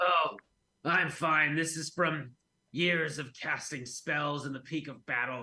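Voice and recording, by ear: Using a put-on character voice, a man talks at a fairly slow pace in a fairly high, raspy, hoarse voice with fairly even intonation.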